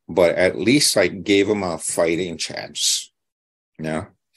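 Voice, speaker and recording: This man speaks with a Hawaiian accent at a fairly slow pace. His pitch varies in an ordinary way against a quiet background. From Hawaii, Molokai. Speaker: psychic and author. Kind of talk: interview storytelling. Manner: halting with many fillers.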